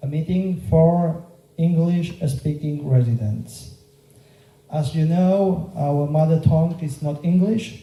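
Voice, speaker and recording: A man speaks very slowly with a Catalan Spanish accent, his fairly high pitch carrying a dark, mellow tone and ordinary pitch variation. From Mallorca, Spain. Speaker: local politician and teacher. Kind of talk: political campaign speech. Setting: meeting room with audience. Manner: halting, with fillers.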